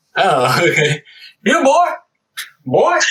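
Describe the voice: A man uses a put-on character voice with a Southern accent. His pitch is high.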